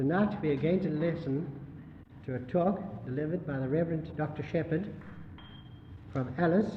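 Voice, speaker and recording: With noticeable background noise behind him, a man with a fairly high pitch and ordinary pitch variation speaks at a moderate pace, leaving long, frequent pauses. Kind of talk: speaker introduction.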